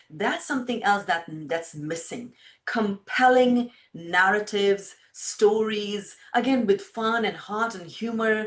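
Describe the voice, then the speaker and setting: A fairly high-pitched woman's voice at a very slow pace, with ordinary pitch variation and big swings in loudness. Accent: Indian. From India. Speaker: filmmaker. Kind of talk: interview.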